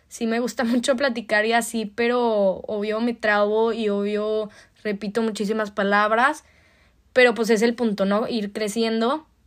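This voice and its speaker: Fairly high for a woman, her pitch holds a monotone, flat intonation. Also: very clean recording, silent background. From Mexico, Torreón, Coahuila. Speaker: podcast host, au pair. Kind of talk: casual monologue.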